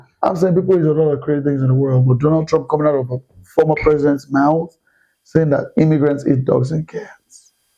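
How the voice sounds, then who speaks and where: This man has a fairly high pitch and a dark, mellow tone. He speaks with a Nigerian accent. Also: fairly quick pace. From Nigeria (Yoruba). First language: Yoruba. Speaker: podcast guest, choir singer. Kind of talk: casual chat. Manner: animated.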